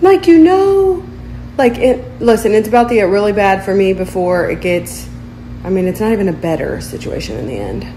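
Over clear background noise, a woman speaks at a medium pitch and a moderate pace, with big pitch swings.

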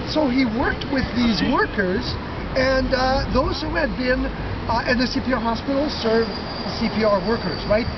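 Loud background noise fills the clip. A man speaks over it at a fairly slow pace. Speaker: walking tour guide. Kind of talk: tour guide narration to a group. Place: street. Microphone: camera far.

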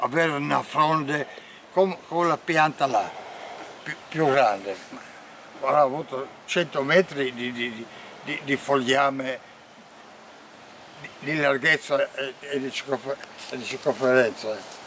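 A man speaks at a very slow pace with a fairly high pitch and ordinary pitch variation, leaving long, frequent pauses, in a dry sound with no echo over light background noise. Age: 80s+. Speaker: retired carpenter. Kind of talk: casual talk during a walk. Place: open country. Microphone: phone near.

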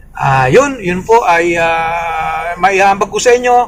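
Noticeable background noise fills the recording. Through it, a man talks with lively intonation. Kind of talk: casual vlog retelling a homily. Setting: outdoors at church parking area. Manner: halting, many fillers.

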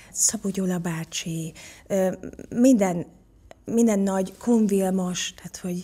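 A woman with a somewhat breathy voice speaks at a very slow pace with ordinary pitch variation. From Hungary. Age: 40s. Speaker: actress and voice actor. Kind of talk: interview answer. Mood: reflective, warm storytelling. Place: studio. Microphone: studio mic.

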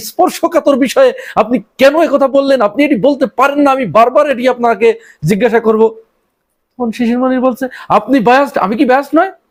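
With ordinary pitch variation, a man speaks at an extremely high pitch in an animated tone. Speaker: political commentator. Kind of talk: political commentary monologue.

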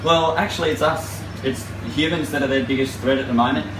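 A male speaker goes at a fairly quick pace, with noticeable background noise behind him. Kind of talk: interview answer. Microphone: camera far.

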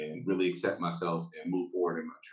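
A man speaks with a very deep, low pitch. There is audible room echo, though the background stays quiet. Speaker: panelist. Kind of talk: panel discussion. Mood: frank, reflective. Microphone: video call.

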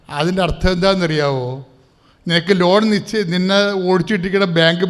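Audible room echo hangs on the recording. The man's pitch is high. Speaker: preacher leading prayer service. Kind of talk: sermon. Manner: animated.

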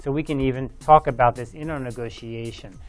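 Faint music plays in the background as a man speaks. His pace is moderate and his pitch variation ordinary. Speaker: university professor. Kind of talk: lecture. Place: studio.

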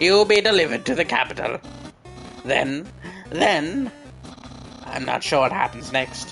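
A man's cartoonish character voice over clear music in the background. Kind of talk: anime-style. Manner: loud, theatrical, over-the-top.

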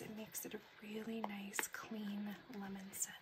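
A woman whispers at a fairly slow pace, soft-spoken throughout. Loud background noise fills the recording. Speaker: ASMR content creator. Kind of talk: casual talk to camera, product haul review. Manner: soft-spoken, whispery. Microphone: phone near.

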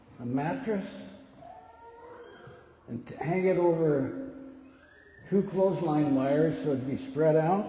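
With lively intonation, a man speaks at a fairly slow pace. Light background noise and audible room echo surround him. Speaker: pastor. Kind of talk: sermon. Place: church. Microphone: podium.

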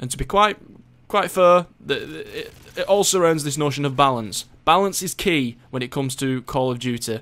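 A man with a British accent speaks at a moderate pace in a fairly high pitch. His intonation is lively. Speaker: gaming YouTuber doing gameplay commentary. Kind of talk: angry rant at game developers over gameplay footage. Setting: home recording over gameplay footage. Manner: sarcastic mock-deliberation building into expletive-laden outbursts; heated, repetitive, stumbling over words when worked up.

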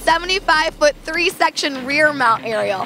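Over clear music in the background, a woman speaks in a raised, projected voice at a moderate pace with ordinary pitch variation and a dry sound with no echo. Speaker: company video host. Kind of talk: product presentation. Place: street. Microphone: handheld.

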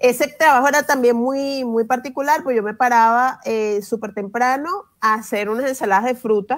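In a quiet setting, a woman speaks at a moderate pace, her high pitch varying in an ordinary way. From Venezuela. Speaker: journalist and children's language educator; journalist, children's language educator. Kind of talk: interview. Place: home room. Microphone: earbuds.

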